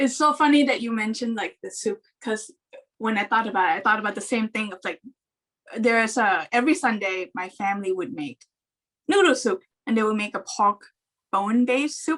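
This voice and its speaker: A woman with a Thai accent speaks at a fairly quick pace with a fairly high pitch, lively intonation and long, frequent pauses. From Thailand. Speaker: animation story artist. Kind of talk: casual chat. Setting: video call.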